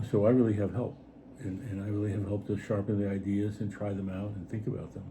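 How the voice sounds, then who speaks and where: Somewhat breathy and dark, mellow in tone, a man talks at a fairly low pitch and a fairly quick pace amid audible room echo. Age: 70s. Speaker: writer and artist. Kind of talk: casual chat. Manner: halting.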